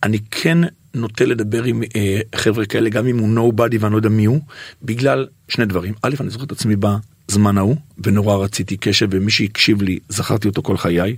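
A man talks at a fairly quick pace in a normal speaking voice. His pitch is fairly low with ordinary variation, in a very clean recording with a silent background. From Israel, Bnei Brak. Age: 50s. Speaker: singer and radio presenter. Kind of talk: casual interview chat.

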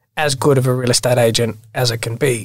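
On a very clean recording with a silent background, a man with an Australian accent speaks in a monotone, flat intonation. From Australia, Sydney (Bondi). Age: 30s. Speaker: real estate agent. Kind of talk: casual interview.

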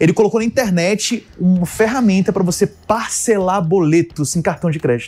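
Delivered at a moderate pace with hardly any pauses, the speech shows ordinary pitch variation. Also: man, high pitch for a man. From Brasília, Brazil. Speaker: tech tools specialist and community founder. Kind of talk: casual interview. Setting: radio studio.

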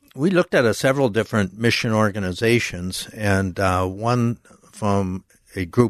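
Against a quiet background, a man with an American accent speaks in a normal speaking voice at a moderate pace, fairly low in pitch with ordinary pitch variation. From Minnesota. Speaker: missionary. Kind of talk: interview. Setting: studio.

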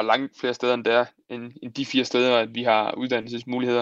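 Over a quiet background, a man speaks at a medium pitch and a fairly quick pace. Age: 20s. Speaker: marathon runner. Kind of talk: casual chat.

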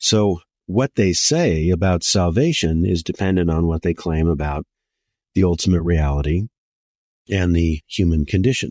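A man's very deep, low voice at very even loudness, with a dry, close sound, no echo and a quiet background. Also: ordinary pitch variation, moderate pace. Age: 60s. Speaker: philosophy professor. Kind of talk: lecture.

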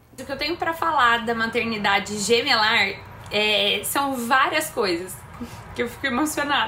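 A woman talks at a moderate pace with lively intonation and a fairly high pitch. Noticeable background noise and audible room echo come through. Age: 30s. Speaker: mother of twins, personal trainer. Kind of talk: recorded testimony.

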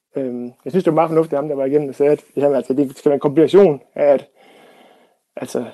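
Dark and mellow in tone, the voice has monotone, flat intonation and a dry, close sound with no echo. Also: man. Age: 40s. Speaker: former teacher, house renovator, listener panel member. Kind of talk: radio panel discussion. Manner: halting, many fillers.

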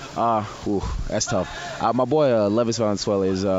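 Noticeable background noise fills the recording. Through it, a man speaks with a fairly low pitch. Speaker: professional wrestler. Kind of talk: casual interview.

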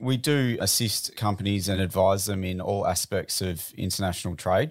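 A man in an Australian accent, fairly low in pitch, with ordinary pitch variation. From Australia, Melbourne. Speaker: business founder. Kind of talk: interview.

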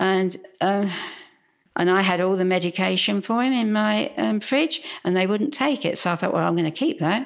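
In a Cockney accent, the speaker keeps a moderate pace and very even loudness while making very wide pitch swings. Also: woman, medium pitch for a woman, very clean recording, silent background. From London, England. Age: 90s. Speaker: churchgoer sharing faith story. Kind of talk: testimony. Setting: at a house.

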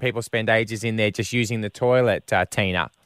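A man speaks with an Australian accent. The very clean recording has a silent background and a dry, close sound with no echo. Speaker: radio host. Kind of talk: casual chat.

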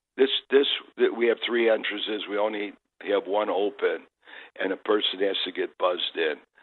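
Speaking at a moderate pace with an American accent, the man leaves long, frequent pauses. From Chicago. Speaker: car dealership owner. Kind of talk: radio interview. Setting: phone call from bed.

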